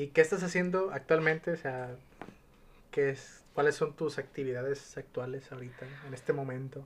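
The voice is somewhat breathy, with fairly even intonation. Its loudness swings widely. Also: man, fairly high pitch for a man, moderate pace. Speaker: podcast host. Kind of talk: casual chat.

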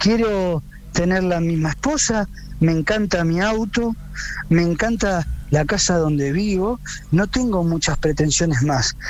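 Over noticeable background noise, a man with a high pitch talks at a fairly slow pace. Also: ordinary pitch variation. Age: 30s. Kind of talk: radio interview.

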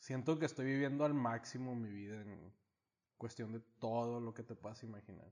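In a normal speaking voice, a man talks at a moderate pace and medium pitch, with fairly even intonation and big swings in loudness. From United States (Mexican-American, moved to Mexico). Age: 30s. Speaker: small business owner. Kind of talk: casual chat.

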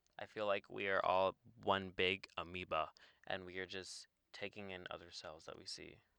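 Loudness swings widely. The pace is moderate. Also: man, dry, close sound with no echo. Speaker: podcast co-host, college student. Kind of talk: casual chat.

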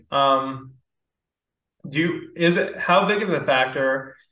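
A man with a bright, sharp tone and ordinary pitch variation speaks amid audible room echo. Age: 20s. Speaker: podcast host and stock trader. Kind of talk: casual chat.

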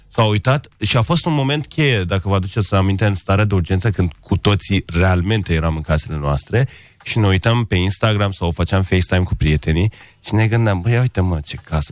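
In a very clean recording with a silent background, a man with a non-native accent talks at a fairly quick pace, his fairly low pitch showing ordinary variation. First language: not Romanian (speaking Romanian). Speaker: architect and interior designer. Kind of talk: radio interview.

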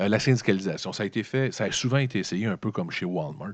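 With a Quebec accent, a man talks at a fairly quick pace and a fairly low pitch. The background is quiet. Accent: Québécois French. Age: 40s. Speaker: podcast host. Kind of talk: solo commentary podcast. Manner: halting, with repetitions.

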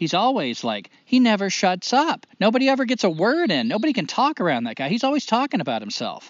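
A man with an American accent speaks at a high pitch with very wide pitch swings and hardly any pauses. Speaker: podcast co-host. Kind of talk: casual conversational podcast discussion.

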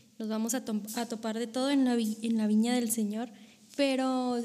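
A woman's somewhat breathy voice sits at a fairly high pitch, with a dark, mellow tone and monotone, flat intonation. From Monterrey, Nuevo León, northern Mexico. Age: 20s. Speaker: author and theology student. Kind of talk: casual interview.

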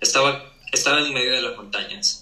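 Audible room echo and noticeable background noise surround speech delivered at a fairly slow pace. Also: man. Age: young. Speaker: architect. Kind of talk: casual interview chat.

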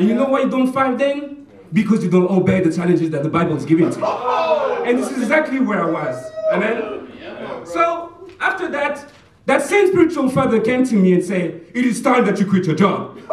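Through noticeable background noise, a man speaks at a moderate pace with an extremely high pitch and very wide pitch swings. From France. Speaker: church minister. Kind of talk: sermon.

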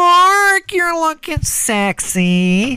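Putting on a character voice, a woman speaks at an extremely high pitch, the sound dry and close with no echo. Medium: comedy sketch. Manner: brash, flirtatious.

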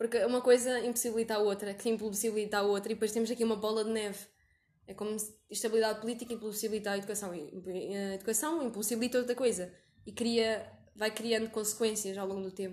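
Talking at a very fast pace, a woman with a fairly high pitch keeps a monotone, flat intonation. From Portugal. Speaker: podcast host. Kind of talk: casual interview.

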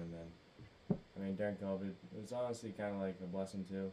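Dark and mellow in tone, this voice carries a Boston accent and fairly even intonation. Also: man. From Massachusetts. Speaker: college baseball player. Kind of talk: casual chat.

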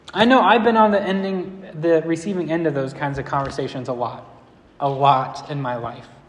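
A man with an ordinary speaking voice uses a fairly high pitch and lively intonation at a moderate pace. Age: 20s. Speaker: pastor. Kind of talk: sermon.

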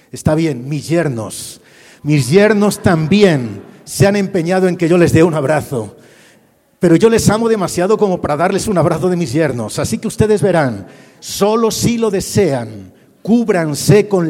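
A man with a Castilian accent, high-pitched and lively in intonation, at a fairly slow pace in a room with audible echo. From Spain, Madrid. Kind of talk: sermon. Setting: church with audience.

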